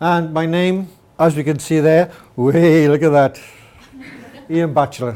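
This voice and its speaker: The speaker has a Welsh accent and talks at a fairly slow pace. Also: man. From Wales. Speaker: mathematics teacher. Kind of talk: presentation.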